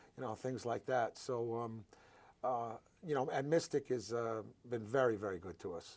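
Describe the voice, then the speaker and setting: A man with a New Jersey accent talks at a moderate pace. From New Jersey, Paterson. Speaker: charity founder, cancer survivor. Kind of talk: interview. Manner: halting, many fillers.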